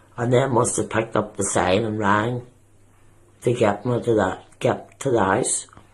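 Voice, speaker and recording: At a fairly slow pace, a man speaks in a somewhat breathy, medium-pitched voice with monotone, flat intonation. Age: 60s. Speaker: person with depression. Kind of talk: testimony. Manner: halting.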